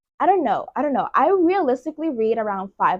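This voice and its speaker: Speaking in a Puerto Rican accent, a woman sounds animated at a moderate pace, her pitch swinging very widely, in a dry, close sound with no echo. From Puerto Rico. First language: Spanish. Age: 20s. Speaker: booktuber. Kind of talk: casual vlog.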